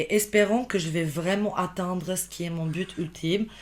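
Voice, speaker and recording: A woman with a slight Albanian accent speaks at a fairly slow pace. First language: Albanian (speaking French). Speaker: podcast guest, immigrant professional. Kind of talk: casual interview chat. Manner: halting, many false starts and fillers.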